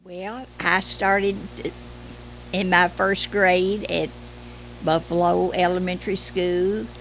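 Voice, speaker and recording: A woman with a Kentucky accent, very slow pace and long, frequent pauses. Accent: Kentucky Southern US. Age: 80s+. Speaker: retired schoolteacher. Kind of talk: oral history interview. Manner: halting with hesitations.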